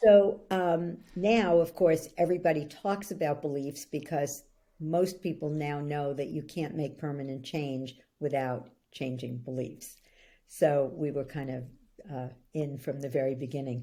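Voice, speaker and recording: This woman speaks at a fairly slow pace with an American accent. Her pitch is very deep and low, with a dark, mellow tone and ordinary pitch variation. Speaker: belief-change coach. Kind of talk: interview.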